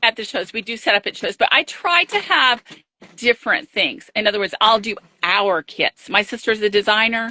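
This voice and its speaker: A woman speaks in a plain, everyday voice at a fairly high pitch. Her intonation is lively. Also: moderate pace. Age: 60s. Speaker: quilt shop owner. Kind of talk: interview. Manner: casual conversational.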